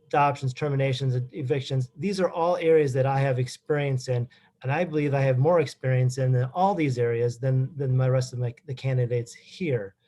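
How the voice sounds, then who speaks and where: A man's somewhat breathy, dark and mellow voice in an American accent, medium in pitch, fairly quick with hardly any pauses and fairly even intonation. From Wisconsin. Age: 40s. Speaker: judicial candidate, lawyer. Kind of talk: closing statement at candidate forum. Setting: public forum. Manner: halting.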